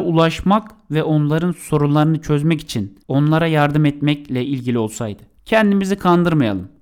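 A man speaks in a plain, everyday voice at a moderate pace. His pitch sits fairly high, with lively intonation. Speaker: podcast co-host on marketing. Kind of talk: podcast monologue on marketing.

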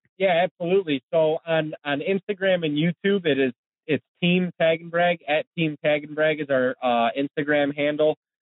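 A man with an American accent talks at a moderate pace in a fairly high pitch. His is an unremarkable speaking voice. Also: fairly even intonation. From Ohio, Cleveland. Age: 30s. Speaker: hunting web show host. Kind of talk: casual interview chat.

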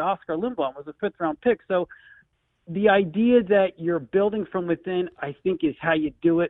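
High-pitched male voice, lively intonation, moderate pace. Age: 40s. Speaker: sports radio caller, hockey fan. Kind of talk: call-in radio chat. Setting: phone call.

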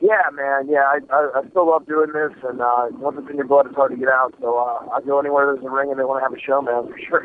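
Very fast speech from a man with a fairly high pitch and hardly any pauses. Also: fairly even intonation. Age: 20s. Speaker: professional wrestler. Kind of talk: phone interview. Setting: phone call.

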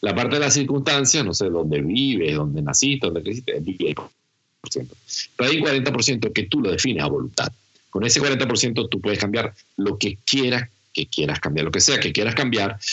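Pitched at a medium level, a man speaks at a moderate pace. His pitch swings very widely. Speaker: humorist and laughter therapist. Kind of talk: casual interview.

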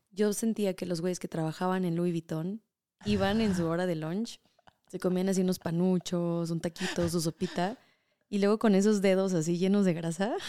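A woman's dark, mellow voice at medium pitch comes through a dry, close sound with no echo. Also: fairly even intonation, moderate pace. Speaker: culinary tour guide. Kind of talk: casual chat.

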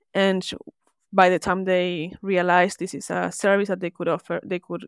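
In a very clean recording with a silent background and a dry, close sound with no echo, a woman with a Spanish accent speaks at a moderate pace, fairly low in pitch, with fairly even intonation and vocal fry. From Argentina. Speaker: service designer. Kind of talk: interview.

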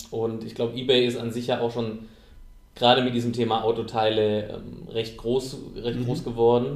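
The man's pitch is medium and his intonation monotone and flat. He moves at a moderate pace with long, frequent pauses, and the room echo is audible. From rural southern Germany. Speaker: podcast host. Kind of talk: interview. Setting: meeting room. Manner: halting.

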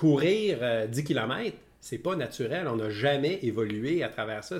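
A man talks with a Quebec accent. Noticeable background noise runs under his voice. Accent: Québécois French. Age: 50s. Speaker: podcast co-host. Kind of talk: casual chat. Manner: halting.

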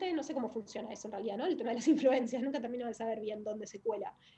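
A woman with a fairly high pitch has an unremarkable speaking voice and ordinary pitch variation. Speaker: writer and actress. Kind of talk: casual interview conversation.

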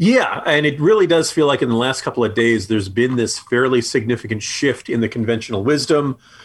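A plain, everyday voice from a man with an American accent runs at a fairly quick pace with hardly any pauses, medium pitch, ordinary pitch variation and very even loudness. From New Jersey, US. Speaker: political commentator and podcast co-host. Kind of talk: casual political banter, news commentary; sponsor ad read. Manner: fluent, opinionated, sarcastic, many filler words; brisk, promotional, clear, reading promo code and phone number.

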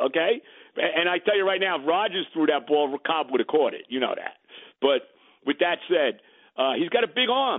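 With a New York accent, a man speaks at a moderate pace in a high pitch, his intonation lively. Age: 70s. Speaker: sports talk radio host. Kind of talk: sports banter. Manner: animated.

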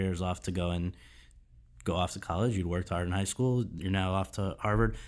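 With an American accent and a very deep, low pitch, a man speaks at a fairly quick pace with ordinary pitch variation on a very clean recording with a silent background. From Connecticut. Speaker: podcast host. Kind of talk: interview; scripted intro.

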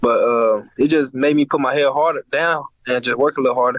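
This is an ordinary speaking voice, a man's, fairly high in pitch with ordinary pitch variation. He talks at a fairly quick pace in a dry, close sound with no echo. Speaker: NFL player. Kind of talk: interview.

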